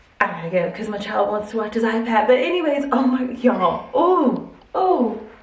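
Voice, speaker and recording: An animated tone with lively intonation at a moderate pace, amid noticeable background noise and audible room echo. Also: woman, fairly high pitch for a woman. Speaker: hair and lifestyle vlogger. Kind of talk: casual chatty vlog.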